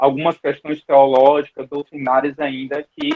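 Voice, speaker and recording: A man's voice is heard here. It is pitched fairly high. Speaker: Bible school teacher. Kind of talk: online Bible class lecture. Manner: hesitant, repeats words.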